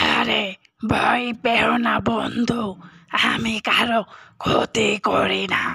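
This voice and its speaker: Raspy and cartoonish, this character voice unfolds at a very slow pace. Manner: calming, friendly.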